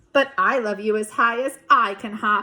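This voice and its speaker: A woman speaks in a put-on character voice. Her pitch sits fairly high, and her pace is moderate. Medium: read story. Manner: gentle, warm, calm.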